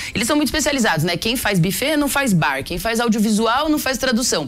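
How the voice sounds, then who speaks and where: Over music in the background, a woman with a fairly high pitch speaks with lively intonation. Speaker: startup founder. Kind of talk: business interview.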